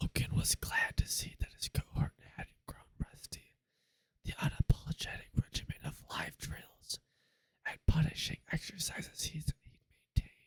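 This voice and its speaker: A whisper at a fairly slow pace. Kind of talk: ASMR audiobook reading. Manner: whispered.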